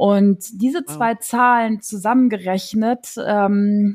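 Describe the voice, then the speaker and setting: Here a woman talks. There is some breathiness in her voice. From Rhineland, Germany (Neuss, near Düsseldorf/Cologne). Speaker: TV scriptwriter. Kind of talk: interview, personal story. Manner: casual with many fillers.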